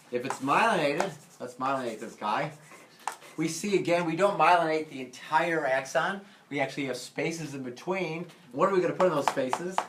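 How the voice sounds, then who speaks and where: With an American accent, the speaker moves at a fairly quick pace, with ordinary pitch variation and big swings in loudness, over noticeable background noise and audible room echo. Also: man, fairly high pitch for a man. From US Midwest, St. Louis. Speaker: physiology instructor. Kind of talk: lecture. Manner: casual, with many fillers.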